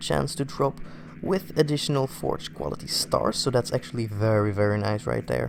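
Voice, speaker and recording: With a non-native accent, a man speaks at a moderate pace using lively intonation. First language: not English. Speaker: gaming youtuber. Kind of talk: gameplay commentary. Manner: halting, many fillers.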